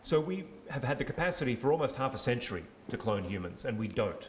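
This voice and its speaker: A man with a medium pitch speaks at a moderate pace with lively intonation. Audible room echo surrounds his voice. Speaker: AI governance expert, panelist. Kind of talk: panel discussion. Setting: stage with audience, handheld mic. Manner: loud.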